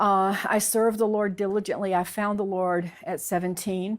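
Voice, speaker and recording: A woman with a Southern US accent talks at a fairly slow pace with fairly even intonation. The recording is very clean, with a silent background. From US South, Alabama. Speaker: convert sharing her story. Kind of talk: testimony. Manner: halting.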